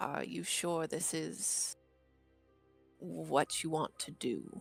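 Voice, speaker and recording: Faint music plays in the background as a put-on character voice goes along at a very slow pace. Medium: actual play. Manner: wary, measured.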